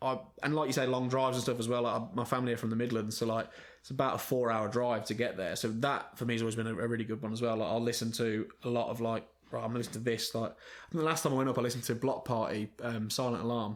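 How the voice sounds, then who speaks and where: A man with an English accent talks at a very fast pace. His pitch sits in the medium range, and his intonation stays fairly even. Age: 30s. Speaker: rock band frontman and singer. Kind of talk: casual chat.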